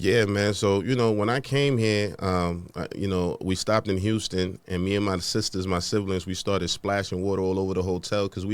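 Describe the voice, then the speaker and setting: In a New York accent, a man speaks at a fairly quick pace with hardly any pauses. His pitch is very deep and low, and his intonation fairly even. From Honduras, raised in the Bronx, New York. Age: 40s. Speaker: podcast host and entrepreneur. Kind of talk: interview. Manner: casual, conversational.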